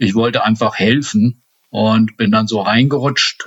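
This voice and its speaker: At a fairly slow pace, a man with an ordinary speaking voice talks at a medium pitch with fairly even intonation. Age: 50s. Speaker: state politician. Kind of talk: interview.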